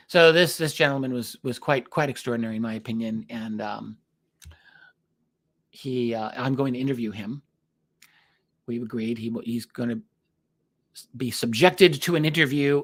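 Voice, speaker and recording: Recorded very cleanly against a silent background, the voice moves at a moderate pace with ordinary pitch variation, big swings in loudness, and long, frequent pauses. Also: man. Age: 60s. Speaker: UFO researcher and author. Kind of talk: solo podcast monologue. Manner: casual, halting with many fillers.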